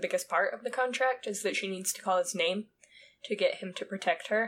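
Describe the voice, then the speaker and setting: With an American accent, a woman speaks at a moderate pace. Her pitch is medium and her intonation fairly even. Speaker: podcast co-host. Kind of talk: casual chat.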